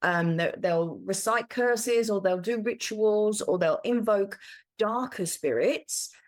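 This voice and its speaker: A plain, everyday voice from a woman, ordinary in pitch variation and fairly high. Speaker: spiritual teacher. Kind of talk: solo talk on spirituality. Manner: conversational.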